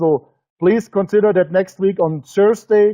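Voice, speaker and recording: Using fairly even intonation, a man speaks with a German accent. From Germany. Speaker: business presenter. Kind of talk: webinar sales presentation. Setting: webinar broadcast. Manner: halting; emotional.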